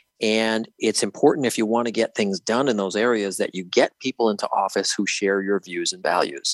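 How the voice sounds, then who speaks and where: A man with an American accent talks at a moderate pace and medium pitch, his intonation fairly even, in a plain, everyday voice with a dry, close sound and no echo. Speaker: state elections official. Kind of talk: interview.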